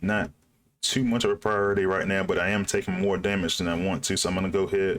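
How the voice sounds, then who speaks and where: On a very clean recording with a silent background, a man talks in a fairly low pitch with fairly even intonation. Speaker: gaming YouTuber. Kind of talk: gameplay commentary. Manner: casual, thinking aloud with fillers.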